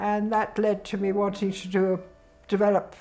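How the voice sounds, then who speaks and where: Music plays in the background as a woman speaks with a British accent. Her pitch is medium and her pace moderate. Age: 80s+. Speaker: mature PhD student. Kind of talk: interview answer.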